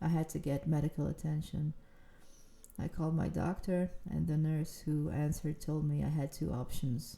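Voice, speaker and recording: The woman's voice is very deep and low, somewhat breathy, with monotone, flat intonation. She keeps a moderate pace and very even loudness. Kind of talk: casual storytime talk to camera. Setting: outdoors, walking.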